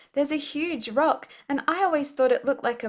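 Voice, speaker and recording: A woman with an Australian accent, music playing behind her. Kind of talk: children's story reading.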